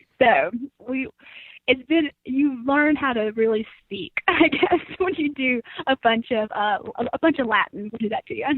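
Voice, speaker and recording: With an American accent, this voice moves at a moderate pace with lively intonation. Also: woman, high pitch for a woman. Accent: Southern US, reduced by training. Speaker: agriscience student researcher. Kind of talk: interview. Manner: hesitant, many fillers.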